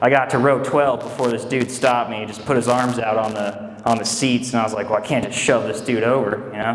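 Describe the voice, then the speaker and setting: Fairly quick speech from a man with fairly even intonation, amid noticeable background noise. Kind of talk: stand-up comedy set. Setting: comedy club, live audience. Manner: casual, conversational, joking.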